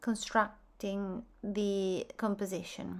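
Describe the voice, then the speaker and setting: A woman speaks very slowly at a medium pitch with a non-native accent. Her intonation is flat and monotone, and the recording is very clean with a silent background. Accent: foreign accent, self-noted. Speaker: art teacher. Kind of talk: tutorial.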